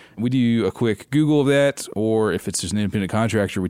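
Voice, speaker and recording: In a Southern US accent, a man speaks with a fairly low pitch. The recording is very clean, and the background is silent. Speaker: travel points and miles expert. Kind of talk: casual interview chat.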